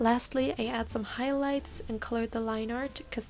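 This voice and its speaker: Music plays in the background as a woman speaks. Her pitch is fairly high and her pace moderate. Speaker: digital artist. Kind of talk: casual voice-over for art video.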